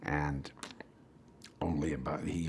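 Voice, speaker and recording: Speaking with an American accent, a man uses a very deep, low pitch with vocal fry and fairly even intonation. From Wisconsin, USA. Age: 60s. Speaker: actor. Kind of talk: press interview answer.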